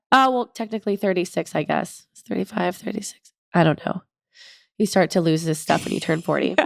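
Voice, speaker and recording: A woman speaks fairly quickly at a medium pitch, with vocal fry, ordinary pitch variation and big swings in loudness. The sound is dry and close with no echo, and the recording is very clean with a silent background. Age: 40s. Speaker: podcast co-host. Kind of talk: casual chat.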